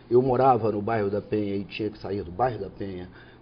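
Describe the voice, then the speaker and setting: This man's voice is somewhat breathy and fairly low in pitch, with ordinary pitch variation and a moderate pace. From Espírito Santo, Brazil (Alegre, then Vitória area). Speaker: judge. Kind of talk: interview.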